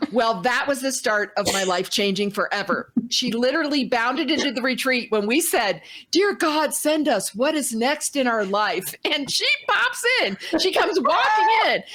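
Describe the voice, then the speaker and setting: Amid noticeable background noise, a woman with an American accent and a high pitch speaks at a moderate pace, her loudness very even while her pitch swings very widely. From Indiana, US Midwest. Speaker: talk show co-host. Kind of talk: casual storytelling.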